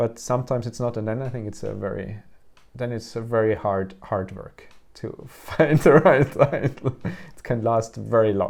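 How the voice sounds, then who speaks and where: A man of medium pitch with a German accent. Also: ordinary pitch variation, moderate pace. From Austria. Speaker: visual artist. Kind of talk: interview conversation. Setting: artist's studio. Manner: halting, many fillers and restarts.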